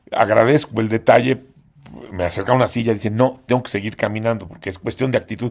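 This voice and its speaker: A man's medium-pitched voice at a very fast pace, intonation fairly even. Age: 70s. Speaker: patient attending a workshop. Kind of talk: casual chat.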